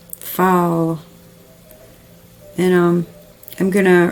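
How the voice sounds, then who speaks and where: A woman with a fairly low pitch speaks against noticeable background noise. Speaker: crafting video creator. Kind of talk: casual craft tutorial. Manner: halting, many filler ums.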